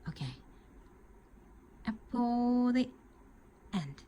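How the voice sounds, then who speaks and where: A woman with a Japanese accent speaks at a very slow pace, somewhat breathy, with very wide pitch swings. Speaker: crochet tutor. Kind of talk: tutorial. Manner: halting.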